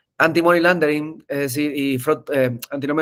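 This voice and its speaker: Fairly high in pitch, a man speaks with monotone, flat intonation. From Argentina, Mendoza. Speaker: tech entrepreneur, webinar speaker. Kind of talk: webinar presentation. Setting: online webinar. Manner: hesitant, frequent filler eh.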